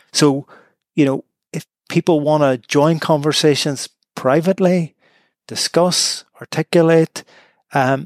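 A Northern Irish accent with fairly even intonation, dry and close with no echo, on a very clean recording over a silent background. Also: man. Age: 50s. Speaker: law professor. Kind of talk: interview.

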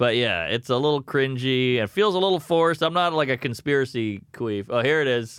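A man with an ordinary speaking voice and an American accent talks at a fairly quick pace with hardly any pauses, using lively intonation at medium pitch against a quiet background. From US South, Louisiana. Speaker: comedian. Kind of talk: casual chat.

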